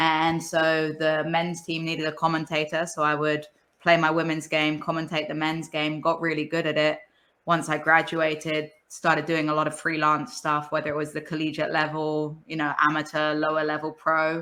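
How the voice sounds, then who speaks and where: In an American accent, the speaker uses a bright, sharp tone and monotone, flat intonation at a moderate pace. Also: woman, very deep, low pitch for a woman. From England. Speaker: football commentator. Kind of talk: casual chat. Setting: video call.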